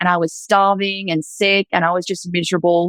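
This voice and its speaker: With an Australian accent, a woman talks at a fairly quick pace and fairly low pitch. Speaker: former reiki master sharing faith story. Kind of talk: testimony. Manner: casual, filler-heavy.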